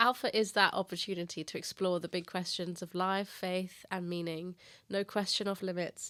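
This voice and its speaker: A woman with an English accent speaks at a moderate pace in a bright, sharp tone with monotone, flat intonation, on a very clean recording with a silent background. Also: medium pitch for a woman. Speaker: church ministry leader. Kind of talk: casual podcast interview.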